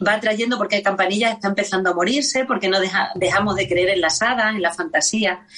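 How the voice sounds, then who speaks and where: A woman with an Extremaduran accent, medium-pitched, with ordinary pitch variation, a moderate pace and noticeable background noise. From Extremadura, Spain. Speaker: copla singer and music teacher. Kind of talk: radio interview.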